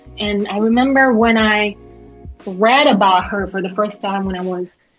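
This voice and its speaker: A woman's medium-pitched voice is heard with music in the background. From Kazakhstan. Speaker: actress, singer and lawyer. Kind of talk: interview answer.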